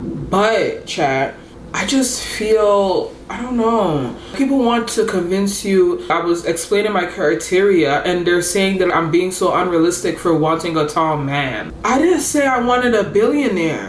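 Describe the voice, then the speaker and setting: Animated woman's voice of medium pitch at a fairly slow pace, with audible room echo and noticeable background noise. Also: hardly any pauses. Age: 20s. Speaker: lifestyle vlogger. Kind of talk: casual chat.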